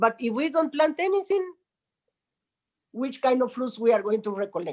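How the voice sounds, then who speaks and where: Moderate is the pace here. A Spanish accent comes through. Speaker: spiritual teacher, meditation center guardian. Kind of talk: conversational interview.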